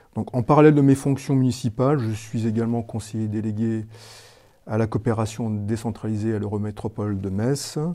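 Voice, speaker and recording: This man has a medium-pitched voice with a dark, mellow tone, speaking at a moderate pace with fairly even intonation. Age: 60s. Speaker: mayor. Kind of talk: interview self-introduction.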